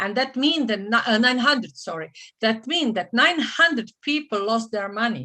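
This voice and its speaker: A fairly high female voice in a Croatian accent, bright and sharp in tone, at a moderate pace on a very clean recording with a silent background. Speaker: franchise consultant. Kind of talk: seminar presentation. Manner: halting, many fillers and restarts.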